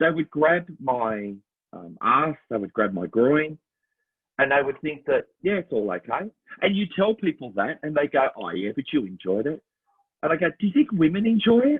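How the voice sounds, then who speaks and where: A man speaks with an Australian accent at a fairly high pitch. His pitch swings very widely. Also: moderate pace. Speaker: Elvis impersonator and musical theatre performer. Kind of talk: casual chat.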